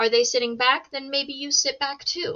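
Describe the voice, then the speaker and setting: A loud woman speaks at a moderate pace with lively intonation. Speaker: sales and communication coach. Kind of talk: online course lesson.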